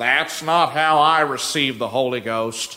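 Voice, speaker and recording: A man's put-on character voice in a Southern US accent, medium pitch, moderate pace. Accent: southern drawl. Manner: disapproving.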